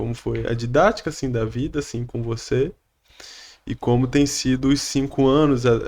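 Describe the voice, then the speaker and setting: Very clean, silent-background recording of a man talking fairly slowly, his pitch varying in an ordinary way. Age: 20s. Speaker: podcast host. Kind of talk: interview.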